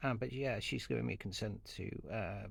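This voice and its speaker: With audible room echo, a man talks at a fairly slow pace. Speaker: aura reader, social media creator. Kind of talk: monologue to camera. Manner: halting, many fillers and restarts.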